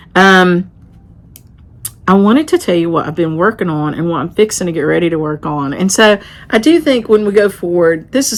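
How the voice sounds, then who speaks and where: A woman with an American accent speaks at a fairly quick pace. Her fairly low pitch carries lively intonation. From western North Carolina mountains. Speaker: craft vlogger and shop owner. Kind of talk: casual vlog talk. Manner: conversational.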